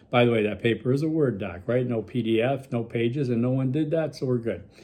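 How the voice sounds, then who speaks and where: Speaking very fast with an American accent and ordinary pitch variation, the voice carries audible room echo. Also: man, medium pitch for a man. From Milwaukee, US Midwest. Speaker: college instructor. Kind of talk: recorded lecture video for students. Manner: casual, conversational with fillers.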